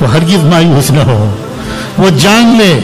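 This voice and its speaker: Clear music plays in the background. The speech moves at a very slow pace. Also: man. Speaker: religious preacher. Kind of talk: sermon. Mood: earnest, reassuring. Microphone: handheld.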